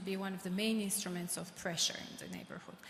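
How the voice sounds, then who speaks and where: A somewhat breathy voice with a Georgian accent. Room echo is audible. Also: woman. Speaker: government official, audience questioner. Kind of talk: audience question at panel. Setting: conference hall with audience.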